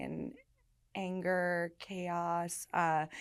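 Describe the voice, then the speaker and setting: Recorded very cleanly against a silent background, a woman speaks at a fairly low pitch with fairly even intonation. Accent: American. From New York, Staten Island, then California. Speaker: person in long-term recovery. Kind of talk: testimony in interview.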